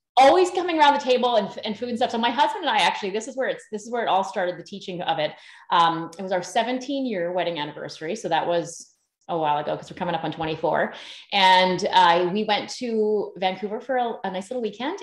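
A woman with a Canadian accent and a medium pitch, talking at a fairly quick pace, quiet background with audible room echo. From Canada, northern British Columbia. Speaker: sourdough baking teacher; podcast guest, baking teacher. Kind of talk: casual interview. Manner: animated. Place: home room. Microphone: video call.

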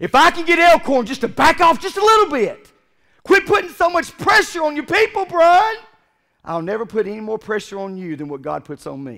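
With a raised, projected voice, a man speaks at an extremely high pitch and a fairly quick pace. His tone is bright and sharp. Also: quiet background. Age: 40s. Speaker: pastor. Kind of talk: sermon. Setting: church. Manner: animated. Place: church.

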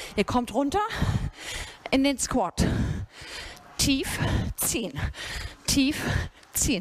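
The speaker is a woman. Her voice sits at a high pitch. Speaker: fitness instructor. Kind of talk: workout instruction. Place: gym.

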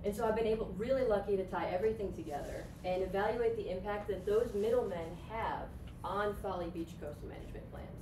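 Very fast speech from a woman with an American accent, over noticeable background noise. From upstate New York. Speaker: graduate student; presenter. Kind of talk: presentation. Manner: lively, laughing often. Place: classroom. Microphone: camera far.

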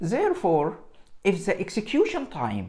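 A man does the talking. Nothing much can be heard behind him. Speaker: presenter. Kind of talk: tutorial. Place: home room. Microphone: lapel.

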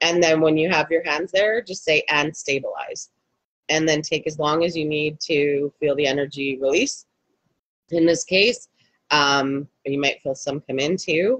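Against a quiet background, a woman speaks with a very deep, low pitch at a fairly slow pace, with ordinary pitch variation and a dry sound with no echo. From Canada. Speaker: energy healer and life coach; life coach. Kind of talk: live guided healing session. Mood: warm, gentle, conversational. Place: home room. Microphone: video call.

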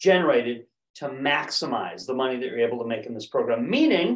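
A man's voice with audible room echo over a quiet background. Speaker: presenter. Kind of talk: sales presentation. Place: office.

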